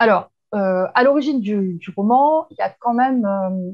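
The recording has a woman speaking over a quiet background. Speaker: guest. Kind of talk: interview answer. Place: home room. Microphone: earbuds.

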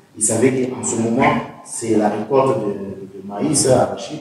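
A man's fairly slow, fairly even-toned speech in strong room echo, with light background noise. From DR Congo, Kasai; DR Congo. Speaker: community speaker at diaspora meeting; speaker. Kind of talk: panel discussion. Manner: halting. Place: meeting room. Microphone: camera far.

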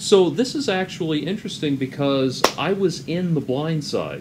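A man at a moderate pace with ordinary pitch variation, over noticeable background noise. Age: 30s. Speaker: YouTube commentator. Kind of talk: commentary monologue. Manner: halting, many fillers. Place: home room. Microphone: webcam.

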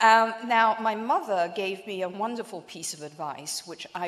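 A woman with an English accent talks at a fairly slow pace. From England, London. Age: 50s. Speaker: asset manager and keynote speaker; keynote speaker. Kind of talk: keynote speech. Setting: banquet stage with audience. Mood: warm, anecdotal. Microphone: podium.

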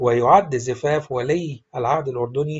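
A somewhat breathy voice in an Egyptian accent, at a fairly slow pace with ordinary pitch variation. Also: man. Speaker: celebrity news narrator. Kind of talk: celebrity news narration.

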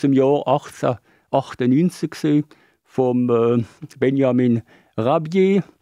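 A man's dark, mellow voice with ordinary pitch variation, in a dry sound with no echo and a quiet background. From Switzerland. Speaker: author; interviewee. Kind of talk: interview. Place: studio. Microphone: studio mic.

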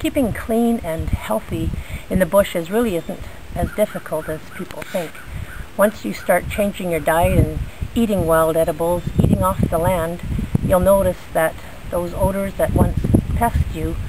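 A woman's moderately paced speech sounds dry with no echo, set against loud background noise. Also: ordinary pitch variation. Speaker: bushcraft instructor. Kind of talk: tutorial. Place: garden. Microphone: phone near.

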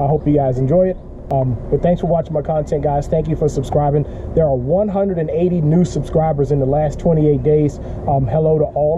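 At a fairly quick pace, a man speaks with very even loudness over noticeable background noise. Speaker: fishing vlogger. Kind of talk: casual vlog chat. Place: garden. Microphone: phone near.

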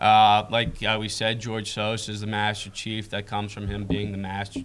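Speaking at a moderate pace, a man uses a fairly low pitch and monotone, flat intonation. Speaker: guest. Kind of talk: interview answer. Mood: relaxed, amused. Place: studio. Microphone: lapel.

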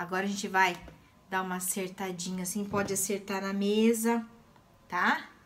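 Against noticeable background noise, a woman speaks with a bright, sharp tone and fairly even intonation. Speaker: craft teacher. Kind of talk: tutorial. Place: home room. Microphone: phone near.

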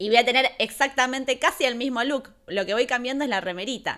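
Against a quiet background, a woman with an Argentine accent speaks at a moderate pace in an animated tone, her fairly high voice moving with lively intonation. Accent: Rioplatense Argentine Spanish. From Argentina, La Plata. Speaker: YouTuber and streamer, film reviewer. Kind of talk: live stream film review. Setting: home live stream. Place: home room. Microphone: studio mic.

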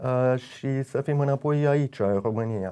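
Very slow speech from a man in a dark, mellow tone, with fairly even intonation over a quiet background. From United States (left Romania at age 8). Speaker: event organizer, noble family descendant; interview guest. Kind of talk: radio interview. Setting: radio studio. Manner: halting, many hesitations. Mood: calm, warm. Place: studio.

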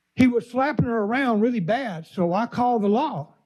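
With an Alabama accent, a man speaks at a moderate pace in a high pitch, his intonation lively. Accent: Southern US (Alabama). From US South, Mobile, Alabama. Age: 60s. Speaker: resident speaking at public comment. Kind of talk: public comment at government meeting. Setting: county commission meeting chamber.

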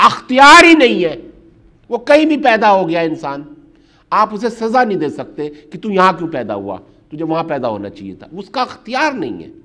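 Against a quiet background, a man speaks in a raised, projected voice at a fairly slow pace, his pitch high with very wide swings. His tone is bright and sharp, and his loudness shifts a lot. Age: 50s. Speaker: human rights activist; speaker. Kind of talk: public talk. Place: hall.

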